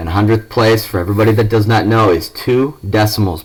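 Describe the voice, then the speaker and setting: At a moderate pace, a man talks in a somewhat breathy voice with a fairly low pitch. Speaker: math teacher. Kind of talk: recorded lesson. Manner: casual.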